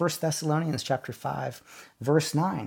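A man's somewhat breathy voice at a fairly high pitch and a moderate pace, on a very clean recording with a silent background. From South Dakota. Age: 40s. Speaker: pastor. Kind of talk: sermon.

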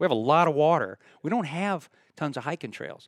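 A man speaks with a dry, close sound and no echo. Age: 60s. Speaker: retired circus performer and YouTuber. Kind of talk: casual chat. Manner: loud.

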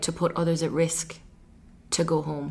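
A woman in an Irish accent, fairly low in pitch, monotone and flat, at a moderate pace. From Ireland. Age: 20s. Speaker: podcast host and life coach. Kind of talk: solo podcast monologue. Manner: many filler ums.

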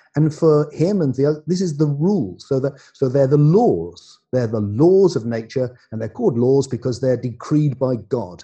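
With an English accent, a man speaks at a fairly high pitch and moderate pace, somewhat breathy, with a dark, mellow tone and lively intonation. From England. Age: 60s. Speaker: philosopher and author. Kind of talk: casual chat.

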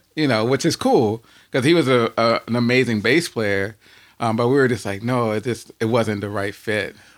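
Here is an ordinary speaking voice from a man with an American accent, medium in pitch with ordinary pitch variation. He keeps a moderate pace on a very clean recording with a silent background. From US, Washington DC. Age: 40s. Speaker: musician and composer. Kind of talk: casual interview.

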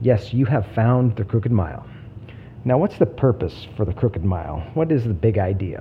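Amid noticeable background noise, a man with a fairly low pitch speaks at a moderate pace with lively intonation. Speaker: podcast host. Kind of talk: scripted-style trailer, storytelling intro. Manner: stumbling, pausing often, speeds up when excited; halting with long pauses.

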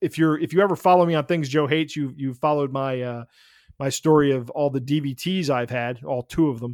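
Dry and close with no echo, the very clean recording over a silent background captures a man talking at a fairly quick pace with ordinary pitch variation. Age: 50s. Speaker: podcast co-host documenting weight loss. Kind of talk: casual chat. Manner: halting, many repetitions and fillers.

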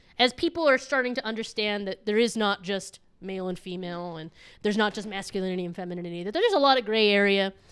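Loud and animated, a woman talks at a very fast pace and medium pitch with lively intonation. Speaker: podcast guest, traveler. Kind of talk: casual chat.

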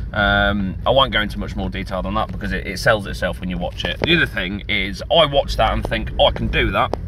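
Speaking with a British accent, a man talks at a fairly quick pace over noticeable background noise. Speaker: listener contributor. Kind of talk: recorded recommendation.

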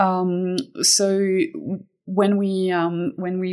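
A woman speaks at a medium pitch with a French accent. The recording is very clean, with a silent background. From France (Fontainebleau). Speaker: admissions director. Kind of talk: interview conversation.

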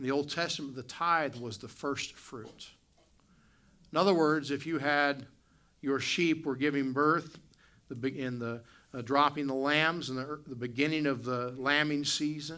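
With an Appalachian accent, the voice has a bright, sharp tone and fairly even intonation, moving at a fairly slow pace with long, frequent pauses amid audible room echo. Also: man. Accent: Appalachian American. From West Virginia. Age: 40s. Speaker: pastor. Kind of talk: sermon. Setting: church. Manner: hesitant with frequent fillers.

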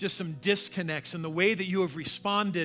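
With a raised, projected voice and a bright, sharp tone, a man speaks at a moderate pace in a high pitch. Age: 40s. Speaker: pastor. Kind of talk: sermon. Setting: church.

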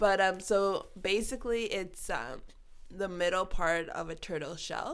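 There is audible room echo around a woman's voice. She speaks at a fairly slow pace and medium pitch with ordinary pitch variation. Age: 30s. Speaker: vitiligo advocate, foundation founder. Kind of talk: casual interview chat. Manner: laughs a lot.

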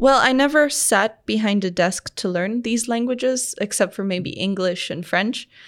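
In a plain, everyday voice, a woman with a fairly high pitch speaks at a moderate pace with hardly any pauses and ordinary pitch variation, on a very clean recording with a silent background. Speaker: startup founder and designer. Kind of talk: casual interview.

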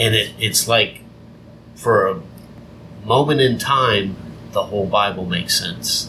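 A man's fairly slow speech with long, frequent pauses, ordinary pitch variation and noticeable background noise. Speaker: podcast host. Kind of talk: religious teaching podcast, casual chat. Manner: nervous speaker, self-described as scared in front of people.

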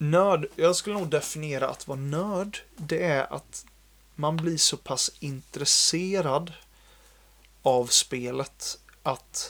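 This man talks at a very slow pace. His pitch is fairly high, with ordinary variation. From Sweden, Jönköping. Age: 20s. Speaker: software developer. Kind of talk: casual chat.

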